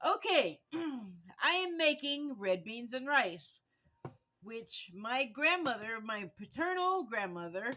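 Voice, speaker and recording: A woman shouts at a very slow pace in a high pitch with a bright, sharp tone. Her pitch swings very widely, and her loudness varies a lot. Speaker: vlogger. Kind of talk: casual vlog while cooking. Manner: loud, yelling.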